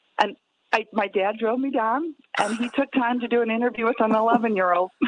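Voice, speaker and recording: With an American accent and an ordinary speaking voice, a woman speaks at a fairly high pitch and a fairly quick pace, her intonation fairly even, in a dry, close sound with no echo. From Chicago, north side. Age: 60s. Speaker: spokesperson. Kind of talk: interview.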